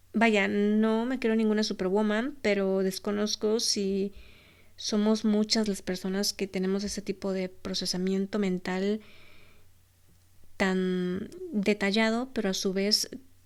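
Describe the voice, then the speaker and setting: On a very clean recording with a silent background, a woman speaks very slowly at a medium pitch in a monotone, flat intonation. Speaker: podcast host. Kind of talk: solo podcast monologue.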